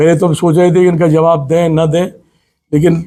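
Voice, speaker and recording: A man's high, dark, mellow voice in a monotone, flat intonation. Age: 60s. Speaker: politician. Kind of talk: press conference statement.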